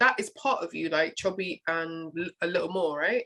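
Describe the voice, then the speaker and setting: A woman speaks in a British accent at a moderate pace. Her tone is bright and sharp, with lively intonation. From United Kingdom. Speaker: podcast host. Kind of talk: podcast interview. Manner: casual, halting.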